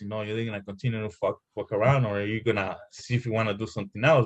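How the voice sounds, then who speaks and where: A somewhat breathy man talks at a very fast pace. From El Salvador. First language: Spanish. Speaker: former gang member and author. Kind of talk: casual interview. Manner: halting, many fillers and repetitions.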